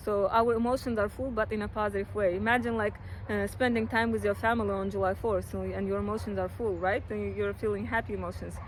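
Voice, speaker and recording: A woman with a non-native accent speaks at a very fast pace. She takes hardly any pauses. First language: not English. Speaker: astrologer. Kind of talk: horoscope monologue. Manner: hesitant, many fillers; casual.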